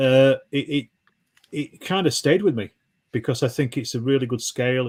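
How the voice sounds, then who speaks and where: A man talks at a moderate pace with a Yorkshire accent. The recording is very clean, with a silent background. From Yorkshire, northern England. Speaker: wargaming YouTuber. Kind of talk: casual chat. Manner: halting, many fillers.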